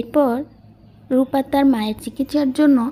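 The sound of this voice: Her voice is fairly high with a dark, mellow tone and a slightly husky edge, as the woman speaks at a moderate pace with ordinary pitch variation.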